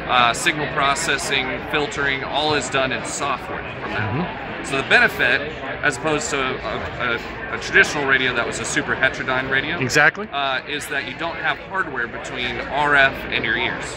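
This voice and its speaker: Loud background noise sits under speech delivered at a fairly quick pace. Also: man. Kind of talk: interview answer. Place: hall. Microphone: phone near.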